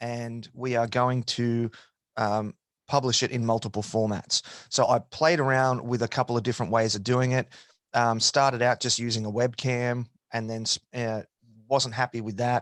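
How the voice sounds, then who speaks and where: A man speaks in a medium pitch with monotone, flat intonation at a moderate pace. The sound is dry and close with no echo, on a very clean recording with a silent background. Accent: Australian. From Australia. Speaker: podcast host. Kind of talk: interview answer.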